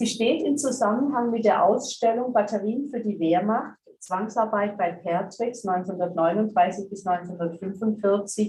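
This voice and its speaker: A woman with an ordinary speaking voice and medium pitch talks at a moderate pace. She uses ordinary pitch variation and hardly any pauses. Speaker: director of a documentation centre. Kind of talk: formal welcome speech.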